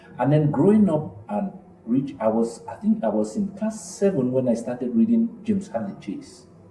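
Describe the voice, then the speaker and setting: A man with a fairly high pitch and very wide pitch swings, over noticeable background noise. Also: moderate pace. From northwest Cameroon. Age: 40s. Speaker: film director. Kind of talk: interview conversation.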